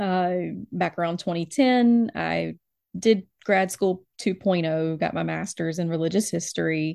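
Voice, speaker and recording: At a fairly slow pace, a woman speaks in a plain, everyday voice with fairly low pitch and ordinary pitch variation over a quiet background. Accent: American. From US South, Alabama. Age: 30s. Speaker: librarian and church elder. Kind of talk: interview.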